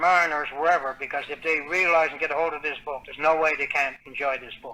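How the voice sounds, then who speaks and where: With a Newfoundland accent, a man talks at a fairly high pitch. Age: 70s. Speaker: author. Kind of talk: interview.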